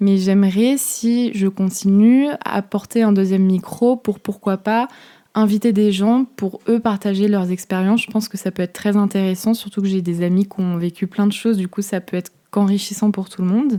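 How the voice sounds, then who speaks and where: Over a silent background in a very clean recording, a woman speaks at a medium pitch with a dark, mellow tone and fairly even intonation. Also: moderate pace. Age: 20s. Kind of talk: casual podcast talk. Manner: casual, chatty.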